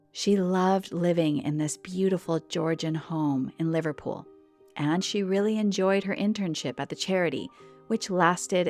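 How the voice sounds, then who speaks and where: Music plays behind a woman speaking at a fairly slow pace in a fairly low pitch. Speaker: podcast host. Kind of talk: English-learning podcast narration.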